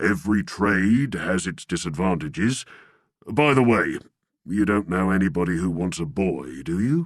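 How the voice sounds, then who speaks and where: A man puts on a raspy character voice, pitched very deep and low, with lively intonation. He speaks at a moderate pace against a quiet background. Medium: read story. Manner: pompous.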